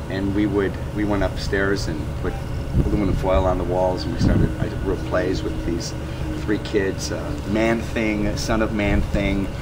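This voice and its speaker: Over loud background noise, a man talks at a fairly slow pace with an American accent. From US Midwest, northern Illinois. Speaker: renaissance festival performer. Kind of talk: interview. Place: street.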